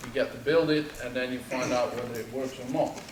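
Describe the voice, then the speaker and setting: A man speaks at a moderate pace with ordinary pitch variation, his voice carrying audible room echo over noticeable background noise. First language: not English. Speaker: subsea engineer. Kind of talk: presentation to audience. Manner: hesitant, many fillers.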